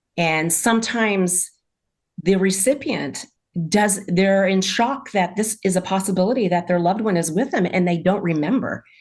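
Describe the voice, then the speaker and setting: A woman's medium-pitched, a plain, everyday voice at a moderate pace, with very even loudness and ordinary pitch variation. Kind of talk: casual chat.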